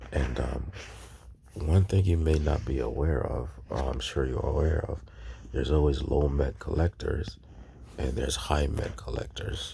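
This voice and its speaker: A soft-spoken man's very deep, low voice at a moderate pace, with long, frequent pauses and audible room echo. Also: ordinary pitch variation. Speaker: YouTube collectibles tutorial creator. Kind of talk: tutorial. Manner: hesitant, many fillers.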